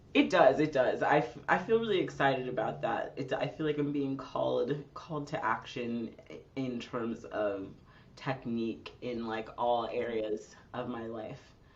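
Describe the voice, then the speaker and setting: A woman with a very deep, low voice and ordinary pitch variation speaks at a fairly slow pace amid audible room echo. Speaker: singer-songwriter. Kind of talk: casual interview conversation. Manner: casual, thinking aloud.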